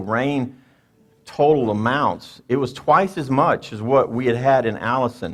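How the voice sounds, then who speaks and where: A man speaks with a Louisiana accent at a medium pitch. His pitch varies in an ordinary way. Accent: Louisiana accent, pronounces water with an R. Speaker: mayor. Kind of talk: public address. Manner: conversational, hesitant fillers.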